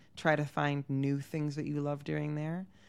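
A woman with an American accent speaks at a moderate pace in a very deep, low pitch, recorded very cleanly against a silent background. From Pennsylvania, US (Havertown, near Philadelphia). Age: 30s. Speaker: journalist. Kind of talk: interview conversation. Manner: casual with frequent fillers (um, like).

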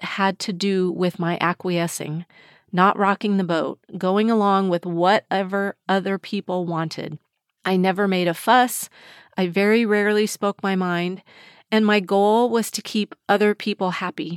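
A woman with an ordinary speaking voice, medium pitch and fairly even intonation at a fairly slow pace, dry and close with no echo on a very clean recording with a silent background. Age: 60s. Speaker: mindset coach and podcast host. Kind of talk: solo podcast monologue.

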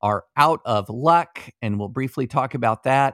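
A man with an unremarkable speaking voice talks at a fairly slow pace, his pitch medium with ordinary variation. The recording is very clean, with a silent background. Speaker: podcast co-host on law and politics. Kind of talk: casual chat and interview.

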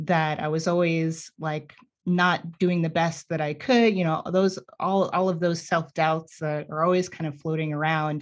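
Speaking with an American accent, a woman keeps a moderate pace, a fairly low pitch and fairly even intonation. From New York City. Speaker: scientist and educator. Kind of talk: casual interview conversation. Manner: halting, with many repeated words.

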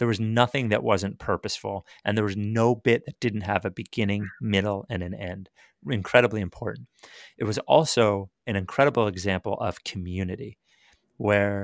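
Moderately paced and fairly low, a man talks in a plain, everyday voice with ordinary pitch variation. The sound is dry and close with no echo, on a very clean recording with a silent background. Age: 40s. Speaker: sports radio programming executive and podcast host. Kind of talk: casual chat.

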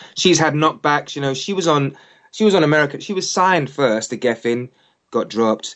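A man with a London accent speaks at a fairly quick pace in a fairly high pitch. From England. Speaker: singer. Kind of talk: interview. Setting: phone call.

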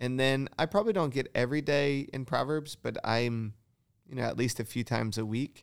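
A man talks fairly quickly in a normal speaking voice, his pitch medium and its variation ordinary. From Michigan. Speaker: pastor. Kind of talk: casual interview. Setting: studio, in person.

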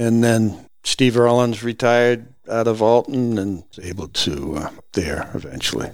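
A man at a fairly slow pace with a fairly low pitch. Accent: New England. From New Hampshire, Lakes Region. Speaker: retired game warden and outdoor guide. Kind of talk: casual interview. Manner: halting, repeats words.

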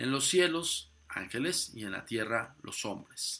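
A man's very slow, bright and sharp delivery with lively intonation and vocal fry. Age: 40s. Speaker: paranormal podcast host. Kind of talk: podcast monologue on the occult.

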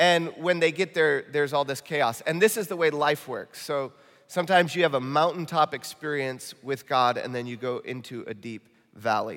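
A slight Midwestern US accent at a moderate pace with ordinary pitch variation. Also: man, fairly high pitch for a man. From Michigan, US Midwest. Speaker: pastor. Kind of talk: sermon. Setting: church. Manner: earnest, urgent.

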